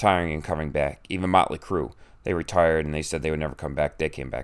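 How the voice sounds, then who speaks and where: A man talks with fairly even intonation in a very clean recording over a silent background. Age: 40s. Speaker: pastor and martial arts instructor hosting a podcast. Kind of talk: casual solo podcast monologue. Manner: hesitant, many fillers.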